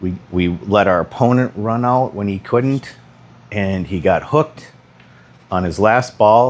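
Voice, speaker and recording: A quiet man's voice at a fairly slow pace, fairly low in pitch, with ordinary pitch variation. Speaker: pool instructor. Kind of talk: tutorial. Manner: casual.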